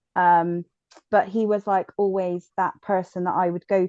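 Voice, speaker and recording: A woman's medium-pitched voice with a strong Bristol accent, dark and mellow in tone, flat and monotone, at a moderate pace, dry and close with no echo against a quiet background. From Bristol, south-west England. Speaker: podcast guest, bereaved mother. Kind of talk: personal testimony. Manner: hesitant, many fillers.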